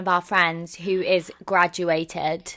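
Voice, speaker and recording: A woman speaks with an English accent. Her tone is bright and sharp. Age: 20s. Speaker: podcast co-host, drama student. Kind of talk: casual chat.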